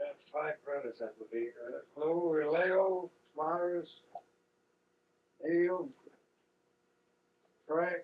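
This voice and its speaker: This man speaks very slowly in a high pitch with ordinary pitch variation, breaking often for long pauses. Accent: American. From New England, Blackstone, Massachusetts. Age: 60s. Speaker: family elder being interviewed. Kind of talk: family oral history interview.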